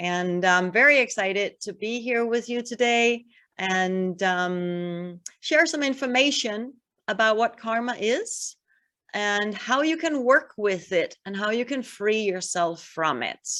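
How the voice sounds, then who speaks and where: At a very slow pace, a woman with a Danish accent speaks at a fairly high pitch. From Denmark. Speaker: spiritual healer and yoga teacher. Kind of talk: online workshop talk.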